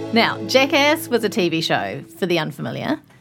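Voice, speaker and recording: A woman speaks with a New Zealand accent. Her pitch is medium and her pace moderate. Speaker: podcast host. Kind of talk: casual chat.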